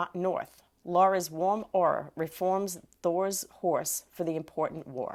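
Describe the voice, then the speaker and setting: The recording is very clean with a silent background, and the delivery is fairly slow. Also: woman. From Massachusetts. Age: 50s. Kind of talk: reading a word list with example sentences.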